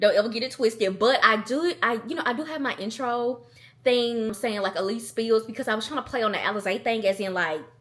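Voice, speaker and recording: A woman speaks with a Southern US accent in an animated tone and fairly high pitch. Her pace is fairly quick, with ordinary pitch variation. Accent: Southern country. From US South, Athens, Georgia. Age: 20s. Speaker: content creator. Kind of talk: casual vlog Q&A. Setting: at home alone.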